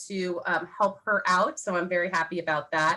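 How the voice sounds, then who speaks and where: Her pace fairly quick, a woman talks with fairly even intonation. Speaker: title company sales rep. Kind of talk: Q&A workshop talk. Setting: video call. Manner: fast.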